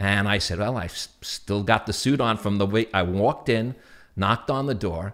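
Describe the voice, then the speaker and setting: On a very clean recording with a silent background, a man talks in a New York accent. His pitch is fairly low, with ordinary variation, at a moderate pace. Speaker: TV interviewer and former sportscaster. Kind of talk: casual interview chat, storytelling.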